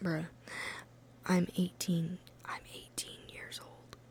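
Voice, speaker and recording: Someone whispers at a very slow pace with an American accent. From Ohio. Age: 20s. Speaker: ASMR creator. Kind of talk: ASMR casual ramble. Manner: whispering.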